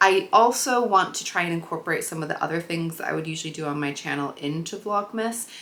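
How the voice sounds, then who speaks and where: Over noticeable background noise, a woman with an American accent talks very fast in a fairly low pitch, with lively intonation and hardly any pauses. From US Midwest, Chicago. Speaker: sewing and craft vlogger. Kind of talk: casual vlog talk to camera.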